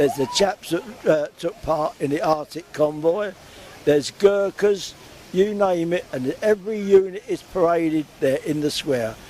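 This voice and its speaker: A man's high pitch at a moderate pace, with ordinary pitch variation and noticeable background noise. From London area (Hounslow). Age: 80s+. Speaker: war veteran. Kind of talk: interview. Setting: outdoors.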